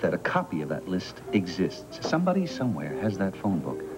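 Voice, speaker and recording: A man speaks fairly quickly while clear music sounds in the background. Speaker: soap opera actor. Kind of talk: scripted drama dialogue. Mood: serious, urgent. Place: studio.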